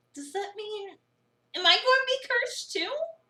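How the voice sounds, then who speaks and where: A woman puts on a squeaky character voice at an extremely high pitch, with lively intonation and a moderate pace. Her loudness swings widely from moment to moment. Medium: game stream. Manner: incredulous, sarcastic.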